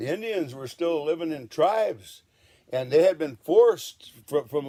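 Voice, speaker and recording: Lively intonation rides on a dark, mellow tone. The pace is moderate. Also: man. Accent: American. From Washington state, USA. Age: 70s. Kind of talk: casual talk to camera.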